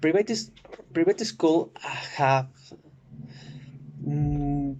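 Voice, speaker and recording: A man talks at a very slow pace. He has a Spanish accent. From Oaxaca, Mexico. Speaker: student. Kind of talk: class presentation. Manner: halting, many fillers.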